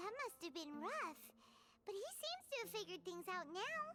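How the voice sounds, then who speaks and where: Over loud background noise, a put-on character voice, squeaky and extremely high-pitched, moves at a moderate pace. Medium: video game. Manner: calm, good-natured.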